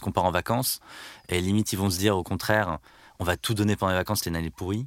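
A man speaks in an ordinary speaking voice, fairly low in pitch, with fairly even intonation. The recording is very clean, with a silent background and a dry, close sound without echo. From Brittany, France (Landerneau, Finistère). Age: 30s. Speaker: company CEO. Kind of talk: interview.

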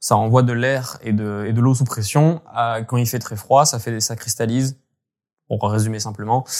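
Fairly slow speech from a man, medium in pitch and fairly even in intonation. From French Alps (Hautes-Alpes, Gap). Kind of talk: interview. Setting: remote call. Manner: halting.

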